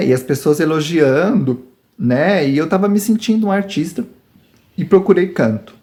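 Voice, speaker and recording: A man at a fairly slow pace, with a dark, mellow tone and very wide pitch swings. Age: 40s. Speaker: YouTuber. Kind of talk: personal testimony. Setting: rural farm home.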